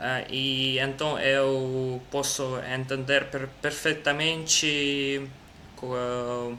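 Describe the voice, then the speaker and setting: A man with a non-native accent speaks very slowly at a fairly high pitch. Audible room echo fills the recording. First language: Russian (speaking Portuguese). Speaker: language learner. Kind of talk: casual chat. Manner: halting.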